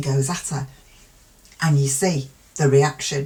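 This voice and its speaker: The voice comes at a fairly slow pace with a British accent. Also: woman. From UK. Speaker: true crime youtuber. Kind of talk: casual commentary. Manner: frequent pauses.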